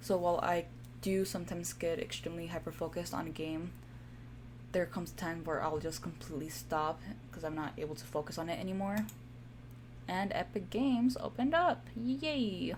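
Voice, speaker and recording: A woman with a Spanish accent talks at a fairly quick pace. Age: 20s. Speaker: gaming streamer. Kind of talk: casual gameplay commentary. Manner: halting, stumbles over words.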